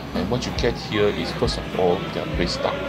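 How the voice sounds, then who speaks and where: A man is talking while clear music sounds behind him. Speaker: food vlogger. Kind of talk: food review commentary. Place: market.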